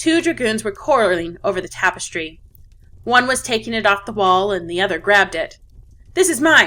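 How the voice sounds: Lively intonation carries through a natural reading voice.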